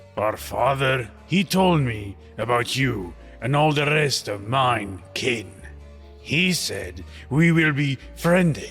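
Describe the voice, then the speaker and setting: With clear music in the background, a man does a put-on, growling character voice at medium pitch and a very slow pace. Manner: growling, halting.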